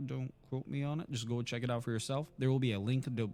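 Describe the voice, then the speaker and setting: A man's pitch varies in an ordinary way over music in the background. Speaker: podcast host. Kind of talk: casual chat. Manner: rambling, with fillers.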